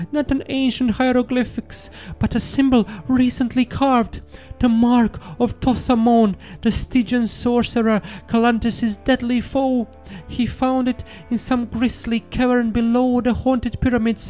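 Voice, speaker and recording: A man's put-on, shaky character voice, extremely high-pitched and monotone, at a moderate pace and very even loudness, over clear music in the background. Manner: fearful, shaky, superstitious.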